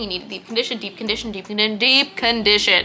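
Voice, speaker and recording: Amid noticeable background noise, a woman speaks in an animated tone at a fairly high pitch. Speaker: beauty youtuber. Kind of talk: product review vlog. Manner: fast.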